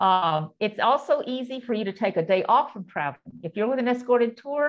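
A woman's high-pitched voice against a quiet background. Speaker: presenter. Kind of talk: lecture. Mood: warm, reflective storytelling. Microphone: video call.

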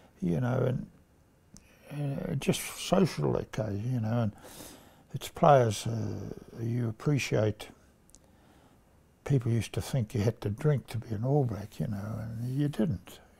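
This man has a dark, mellow, somewhat breathy tone at a medium pitch, with a New Zealand accent. He talks at a fairly slow pace with lively intonation and long, frequent pauses. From New Zealand, King Country. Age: 80s+. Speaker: retired rugby player. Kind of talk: interview answer.

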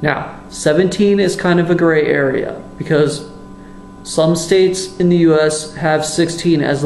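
Pitched high for a man, this male voice comes with light background noise and audible room echo. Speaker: YouTube commentator. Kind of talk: angry profanity-laced rant denouncing a fellow YouTuber. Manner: furious, disgusted outbursts with heavy swearing; halting, repeats words and restarts sentences. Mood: angry, exasperated. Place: kitchen. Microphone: webcam.

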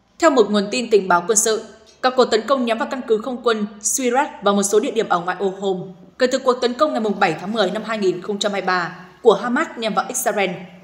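Noticeable background noise surrounds this woman as she speaks fairly quickly. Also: ordinary pitch variation. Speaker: news presenter. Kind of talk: news reading.

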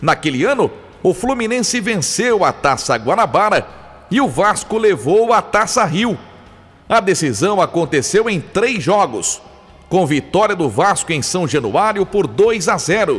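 At a fairly slow pace, a man talks in a high pitch with lively intonation. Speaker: sports documentary voice-over narrator. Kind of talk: documentary narration. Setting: studio.

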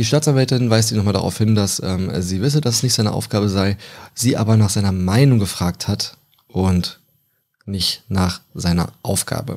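A man talks at a moderate pace in a normal speaking voice. His pitch is fairly low with ordinary variation, on a very clean recording with a silent background. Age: 20s. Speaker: true crime podcaster. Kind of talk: storytelling narration.

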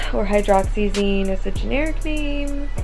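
Speaking fairly slowly, a woman is heard with clear music behind her. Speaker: vlogger. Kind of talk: casual vlog chat. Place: home room. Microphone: phone near.

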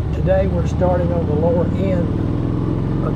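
A man speaks over loud background noise. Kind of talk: casual ride commentary. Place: motorbike.

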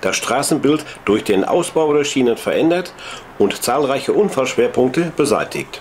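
A man talks at a moderate pace with lively intonation amid noticeable background noise. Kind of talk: 1960s documentary film narration, scripted and read aloud. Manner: measured, formal, even-paced newsreel tone; dry, authoritative, clearly enunciated.

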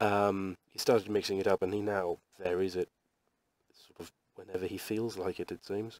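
Against a quiet background, a man speaks at a fairly low pitch and moderate pace in a monotone, flat intonation, with big swings in loudness and a dry sound with no echo. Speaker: webcomic artist. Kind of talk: casual drawing tutorial talk. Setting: poor quality microphone.

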